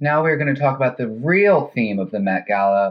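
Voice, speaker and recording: Lively in intonation and fairly high in pitch, a man speaks in an unremarkable speaking voice. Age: 20s. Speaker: podcast co-host. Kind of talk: casual chat.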